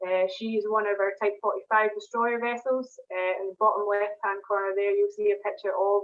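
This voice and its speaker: A woman speaks in a Scottish accent at a medium pitch. Her pace is fairly quick and her intonation monotone and flat. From Scotland, Glasgow. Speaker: propulsion engineer. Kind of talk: online presentation. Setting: video call. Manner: hesitant, many fillers.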